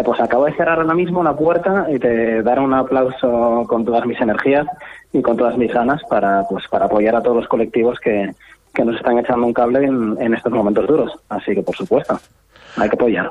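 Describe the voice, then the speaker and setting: Fairly quick in pace, the speech shows ordinary pitch variation. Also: man, medium pitch for a man. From Asturias, Spain. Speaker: startup founder. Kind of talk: radio interview.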